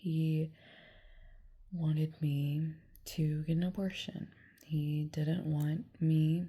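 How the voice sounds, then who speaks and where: The voice is somewhat breathy, with monotone, flat intonation and long, frequent pauses. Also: woman, very deep, low pitch for a woman. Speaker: vlogger. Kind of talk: personal testimony vlog. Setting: lying in bed. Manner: slow; halting.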